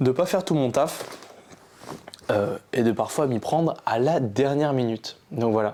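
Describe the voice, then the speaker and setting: A man speaks at a fairly slow pace with lively intonation, leaving long, frequent pauses. Noticeable background noise runs under his voice. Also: medium pitch for a man, very even loudness. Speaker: youtuber. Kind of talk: casual vlog talk to camera. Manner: calm, relaxed.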